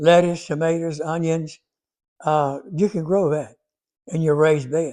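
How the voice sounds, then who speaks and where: This voice has a Southern US accent and a dark, mellow tone. It speaks with fairly even intonation and long, frequent pauses. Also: man, fairly high pitch for a man. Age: 80s+. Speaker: gardening video creator. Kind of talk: casual Q&A advice talk. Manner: halting.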